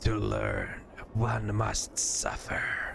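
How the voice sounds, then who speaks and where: A man puts on a character voice. Clear background noise can be heard. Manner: cackling, menacing.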